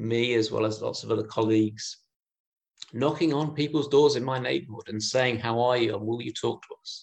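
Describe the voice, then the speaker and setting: At a moderate pace, a man speaks in a normal speaking voice. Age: 30s. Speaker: minister. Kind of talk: lecture.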